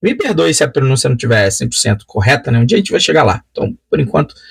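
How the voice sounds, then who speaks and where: Fairly high pitch and a somewhat breathy quality in a man's voice. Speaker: Bible study teacher. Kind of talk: lecture. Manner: hesitant, many filler sounds.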